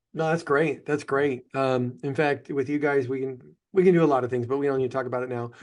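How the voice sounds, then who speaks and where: At a very fast pace, a man speaks with a medium pitch and fairly even intonation. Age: 60s. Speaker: financial advisor and podcast host. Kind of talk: casual chat. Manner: halting, many fillers.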